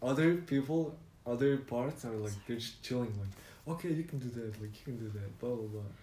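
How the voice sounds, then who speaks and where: Audible room echo surrounds a man with a medium pitch and ordinary pitch variation. He sounds somewhat breathy and talks at a fairly quick pace. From Mongolia. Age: 20s. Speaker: podcast guest. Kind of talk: casual chat. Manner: halting.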